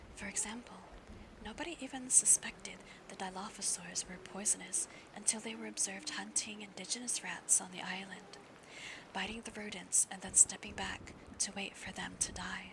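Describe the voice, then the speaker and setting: Moderately paced whispering against noticeable background noise. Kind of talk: ASMR audiobook reading aloud of a novel; live stream reading.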